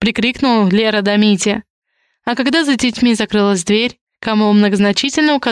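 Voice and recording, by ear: Reading aloud in a natural voice against a quiet background, with ordinary pitch variation.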